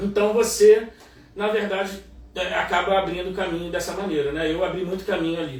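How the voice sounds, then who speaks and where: There is noticeable background noise. Audible room echo is also present. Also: man, high pitch for a man, fairly quick pace. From Niterói, Rio de Janeiro, Brazil. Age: 40s. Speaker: journalist and music producer. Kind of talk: casual interview chat. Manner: animated.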